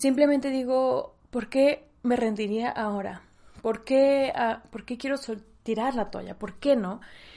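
Her high-pitched voice has a dark, mellow tone, and the woman's pitch varies in an ordinary way. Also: fairly slow pace. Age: 20s. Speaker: podcast host. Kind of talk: solo podcast monologue. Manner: animated.

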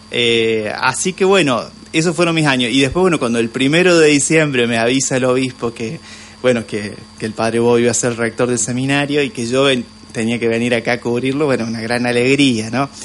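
Noticeable background noise sits behind a man of medium pitch. He talks at a fairly quick pace with ordinary pitch variation. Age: 40s. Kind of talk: radio interview. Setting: radio studio. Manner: hesitant, many fillers.

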